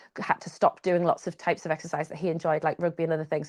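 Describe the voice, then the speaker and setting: A woman with a Geordie accent speaks in a fairly low pitch, the sound dry and close with no echo against a quiet background. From northern England, Newcastle. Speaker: triathlete. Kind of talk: interview conversation. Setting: live podcast with small audience.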